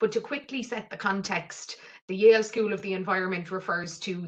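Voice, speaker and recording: A woman with an Irish accent speaks at a fairly quick pace with fairly low pitch and fairly even intonation, over noticeable background noise. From southwest Ireland (County Cork coast). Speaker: mental health programme lead. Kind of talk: webinar presentation.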